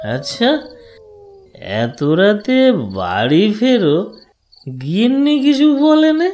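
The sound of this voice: A cartoonish character voice from a man, high-pitched with very wide pitch swings, a slightly mellow tone and a slow pace.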